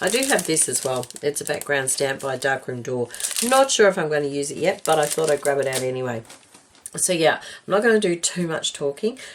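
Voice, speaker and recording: A woman with an Australian accent and a very deep, low pitch speaks at a fairly quick pace with lively intonation amid noticeable background noise. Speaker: craft video maker. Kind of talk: crafting tutorial chat. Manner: casual, hesitant with many ums.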